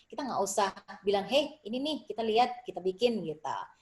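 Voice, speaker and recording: A woman's speech shows ordinary pitch variation, with noticeable background noise behind it. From Indonesia. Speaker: Indonesian diaspora writer and dancer. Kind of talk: interview conversation.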